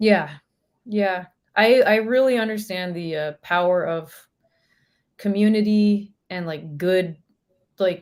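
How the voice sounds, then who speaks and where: A woman's medium-pitched voice in a Northern California accent, at a very slow pace with long, frequent pauses. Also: ordinary pitch variation, big swings in loudness. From Northern California, Sacramento. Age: 30s. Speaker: professional musician. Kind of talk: casual chat.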